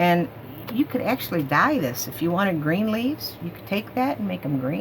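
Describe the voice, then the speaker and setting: A woman speaks in a very deep, low voice with very wide pitch swings. Noticeable background noise sits behind her. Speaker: haul video creator. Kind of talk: casual product show-and-tell. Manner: fast.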